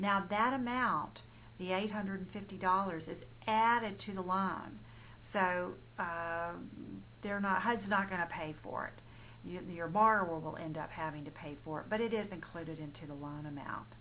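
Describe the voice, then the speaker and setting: The tone is bright and sharp, with big swings in loudness and audible room echo. Delivery runs at a moderate pace with ordinary pitch variation. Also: woman, medium pitch for a woman. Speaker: mortgage professional. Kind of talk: informational explainer. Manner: halting, many fillers and restarts.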